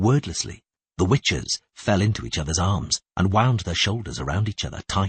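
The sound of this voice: Against a quiet background, the speaker uses an unforced reading voice with ordinary pitch variation.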